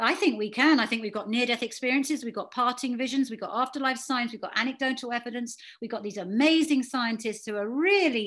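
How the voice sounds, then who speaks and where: With a British accent, a woman talks at a fairly quick pace in a high pitch over a quiet background. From England. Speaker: afterlife and spirituality author; guest. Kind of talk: guest talk to a support group. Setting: video call. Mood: warm, earnest. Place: home room. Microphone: video call.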